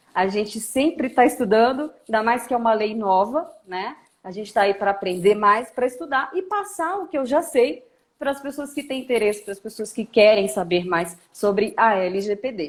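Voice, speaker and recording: The speaker has a Brasília accent and lively intonation. The pace is moderate. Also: woman, fairly high pitch for a woman. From Brazil, Brasília. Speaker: lawyer. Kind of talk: live stream interview. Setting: live stream.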